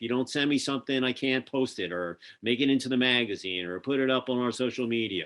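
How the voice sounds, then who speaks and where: A man with a Philadelphia accent at a very fast pace, medium in pitch with ordinary pitch variation. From Philadelphia, US. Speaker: podcast host and magazine publisher. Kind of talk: casual interview chat. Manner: animated.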